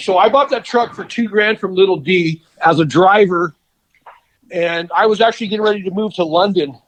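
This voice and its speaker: A man with an American accent, a high voice, ordinary pitch variation and a fairly quick pace. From Southern California. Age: 50s. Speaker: custom car builder. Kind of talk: interview. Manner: casual.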